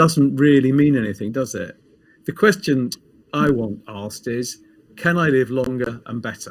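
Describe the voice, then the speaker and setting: A man with a British accent speaks at a moderate pace and medium pitch. His intonation is lively. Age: 60s. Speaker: pharmacist and health coach. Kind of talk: casual interview.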